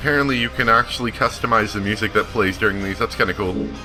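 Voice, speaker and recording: Lively intonation over music in the background. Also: man. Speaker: let's play gamer. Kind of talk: casual gameplay commentary.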